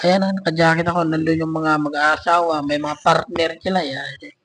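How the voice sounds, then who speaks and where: Monotone and flat, a man with a fairly high voice speaks at a moderate pace. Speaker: travel vlogger. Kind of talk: vlog narration. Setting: voice-over recorded separately. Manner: casual, filler-heavy.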